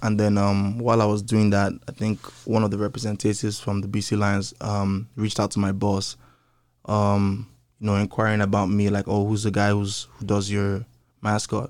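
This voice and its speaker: This man speaks in a fairly low pitch with a monotone, flat intonation. The recording is very clean, with a silent background. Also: moderate pace. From Nigeria. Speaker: hype man, MC and dancer. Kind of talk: casual interview chat. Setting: studio.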